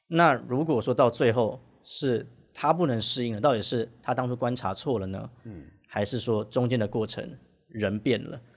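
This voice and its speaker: A plain, everyday voice from a man, medium in pitch with ordinary variation, at a moderate pace. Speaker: bartender, former Chinese teacher. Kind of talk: casual interview chat.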